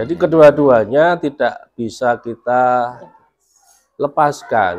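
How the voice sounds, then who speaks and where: A man speaks at a very slow pace in a medium-pitched voice. His intonation is lively. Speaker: school principal. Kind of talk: interview discussion. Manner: formal.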